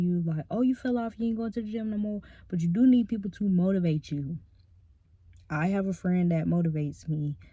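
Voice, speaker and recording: Soft-spoken and mumbling, a woman talks at a fairly quick pace in a medium pitch with ordinary pitch variation. Her tone is dark and mellow and somewhat breathy. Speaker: ASMR creator. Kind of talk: casual chat. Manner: medium volume, not whispering; naturally soft-spoken, mumbles.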